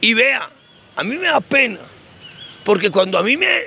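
A man with a high pitch uses a raised, projected voice and lively intonation at a moderate pace, in a dry sound with no echo. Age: old. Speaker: theologian. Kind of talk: religious teaching talk. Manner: halting, repeats words. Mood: earnest, mildly aggrieved. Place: street. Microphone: handheld.

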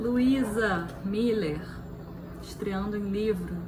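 This soft-spoken woman has a warm tone, with noticeable background noise behind her. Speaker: poetry performer. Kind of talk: poem reading aloud, then short book recommendation. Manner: intimate, emotive, soft and delicate delivery; emotional, warm. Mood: tender, expressive. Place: home room. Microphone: phone near.

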